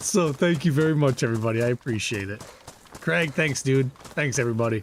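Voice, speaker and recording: Over noticeable background noise, a man talks at a fairly quick pace with a medium pitch and lively intonation. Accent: American. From northern Michigan. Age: 40s. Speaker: gaming streamer. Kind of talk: casual livestream chat. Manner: animated.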